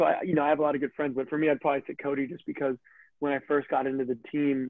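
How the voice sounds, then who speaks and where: This man's voice sits at a fairly high pitch. His intonation is monotone and flat. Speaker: professional footballer. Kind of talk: interview. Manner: loud; high energy.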